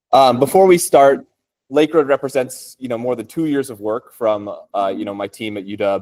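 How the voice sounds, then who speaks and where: A man with an American accent and a normal speaking voice, medium pitch, lively intonation, a moderate pace and big swings in loudness. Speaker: computer science researcher. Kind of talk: technical talk. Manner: casual, with many fillers.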